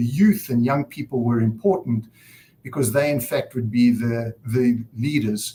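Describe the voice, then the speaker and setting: In a South African accent, a man speaks at a fairly slow pace with a medium pitch. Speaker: nonprofit director opening a summit. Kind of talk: conference opening speech.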